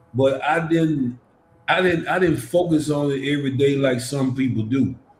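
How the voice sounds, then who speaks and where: A somewhat breathy man with an American accent speaks at a fairly high pitch. He keeps a moderate pace and fairly even intonation. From US South, Memphis, Tennessee. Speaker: church podcast co-host. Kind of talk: casual chat.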